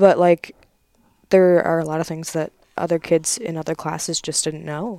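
A woman with an American accent, fairly low pitch and a dark, mellow tone, fairly even intonation, big swings in loudness and a moderate pace, in a dry, close sound without echo. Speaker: English major student. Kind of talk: casual chat. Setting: home basement.

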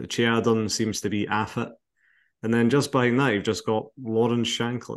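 A man speaks in an Edinburgh accent at medium pitch and a fairly slow pace. His intonation is fairly even, and the background is quiet. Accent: Scottish (Edinburgh). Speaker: football podcast host. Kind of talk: casual chat.

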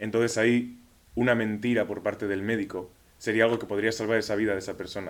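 Flat and monotone, a man talks at a very fast pace with a fairly low pitch. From Spain, Pamplona. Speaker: university student, debater. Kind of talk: debate.

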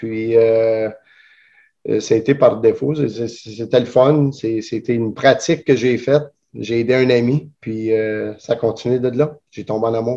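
Against a quiet background, a man speaks very slowly in a dark, mellow tone. His pitch is medium and his intonation fairly even. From Elmer. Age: 40s. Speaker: jiu-jitsu instructor. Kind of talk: interview. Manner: halting.

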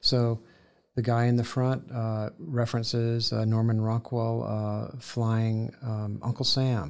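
This man talks at a very slow pace with a Southern US accent. His medium-pitched voice keeps a fairly even intonation. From US South, Columbus, Georgia. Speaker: painter. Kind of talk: interview. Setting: studio.

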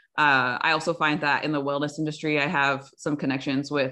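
A woman with an American accent speaks at a very deep, low pitch. Her pace is fairly quick and the background is quiet. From Umatilla Indian Reservation, Oregon. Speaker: early childhood special education teacher. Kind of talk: casual chat. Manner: animated.

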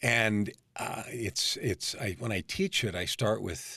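A man with an American accent and a fairly low pitch, on a very clean recording with a silent background. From California, San Francisco Bay Area. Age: 50s. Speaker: life coach. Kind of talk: interview.

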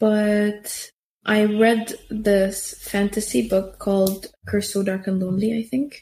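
A woman speaks with an Arabic accent at a fairly high pitch. Her voice is somewhat breathy and her pace fairly slow. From Syria. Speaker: youth program participant. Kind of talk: interview conversation. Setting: in-person recording at a community center.

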